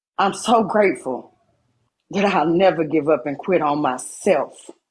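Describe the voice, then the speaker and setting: Her pitch is fairly low, with ordinary variation. The woman speaks at a fairly slow pace. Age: 40s. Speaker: livestreamer. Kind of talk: emotional live-stream monologue. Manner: animated.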